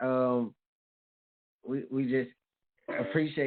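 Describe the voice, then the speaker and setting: The man uses a normal speaking voice, medium in pitch, with fairly even intonation. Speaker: radio show host. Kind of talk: casual radio show talk.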